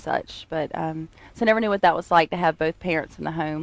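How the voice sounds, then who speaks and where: Speaking with a North Carolina accent, a woman talks at a fairly quick pace with a fairly low pitch. The sound is dry and close with no echo, over a quiet background. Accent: North Carolina Southern US. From US South, Greensboro, North Carolina. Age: 30s. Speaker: church member sharing testimony. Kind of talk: testimony. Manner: halting, many fillers.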